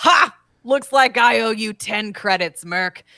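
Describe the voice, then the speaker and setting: A woman puts on a character voice with a fairly high pitch. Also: fairly slow pace. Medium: actual play. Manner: barking, hearty.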